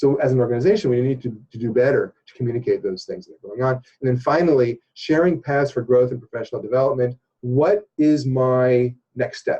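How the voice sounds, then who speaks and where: A man talks at a fairly quick pace in a dark, mellow, somewhat breathy tone, with ordinary pitch variation. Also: medium pitch for a man. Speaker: organizational development consultant. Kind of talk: interview explaining a training program. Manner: fast; hesitant, many fillers and repeats.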